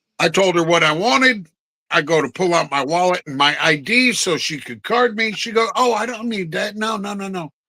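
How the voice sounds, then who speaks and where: A loud, projected voice with an American accent speaks at a moderate pace, its bright, sharp tone rising and falling in lively intonation. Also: man, high pitch for a man. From New Jersey. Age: 50s. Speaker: podcast co-host. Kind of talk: casual chat.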